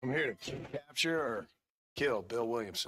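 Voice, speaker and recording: Putting on a raspy character voice, a man talks at a moderate pace in a medium pitch. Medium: video game. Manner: laconic, dry.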